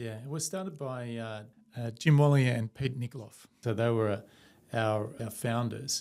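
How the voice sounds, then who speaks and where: Speaking in an Australian accent, the man uses a medium pitch, ordinary pitch variation and a moderate pace. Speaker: company CEO. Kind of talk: interview.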